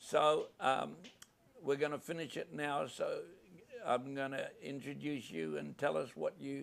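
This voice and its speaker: A man at a fairly slow pace, in a New Zealand accent. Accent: New Zealand accent, noticeable. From New Zealand, Maori. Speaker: podcast host. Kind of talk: live podcast interview. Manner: halting, with fillers.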